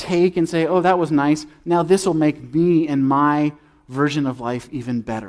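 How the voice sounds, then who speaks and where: An unremarkable speaking voice from a man, fairly high in pitch with ordinary pitch variation and a moderate pace, in a very clean recording with a silent background. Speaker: preacher. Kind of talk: sermon. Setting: church.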